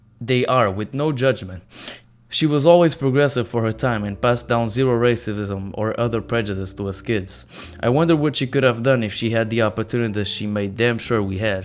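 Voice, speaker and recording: The speaker, with a non-native accent, talks at a fairly quick pace with ordinary pitch variation. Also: man. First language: not English. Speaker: reddit story narrator. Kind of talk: reading aloud; channel outro. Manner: stuttering.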